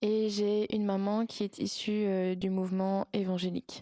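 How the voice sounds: The voice has a dark, mellow tone and a dry, close sound with no echo. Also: woman.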